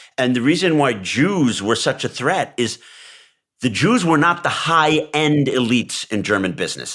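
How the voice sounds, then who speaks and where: A man's bright, sharp voice with an American accent at a moderate pace. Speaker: podcast co-host. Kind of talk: casual political discussion.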